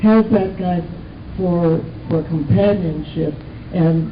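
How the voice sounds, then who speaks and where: A woman with an American accent talks at a fairly slow pace. Noticeable background noise can be heard. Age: 80s+. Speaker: actress and author. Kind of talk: interview answer.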